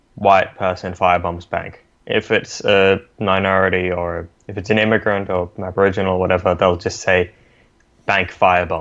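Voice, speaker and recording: A man with an Australian accent, very deep and low in pitch, monotone and flat, at a moderate pace. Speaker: podcast co-host. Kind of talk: casual podcast chat.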